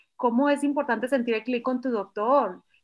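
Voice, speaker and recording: A woman's high voice at a moderate pace, with fairly even intonation. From Mexico, Culiacán, Sinaloa. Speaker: pediatrician. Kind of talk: casual chat.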